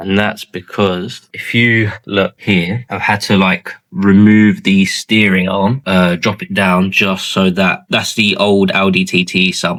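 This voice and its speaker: A man's fairly low, monotone voice in a strong London accent, very slow yet with hardly any pauses, in a dry, close sound with no echo. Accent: strong southeast London. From southeast London. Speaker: car mechanic YouTuber. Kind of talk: casual workshop vlog. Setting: garage workshop. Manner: casual, colloquial.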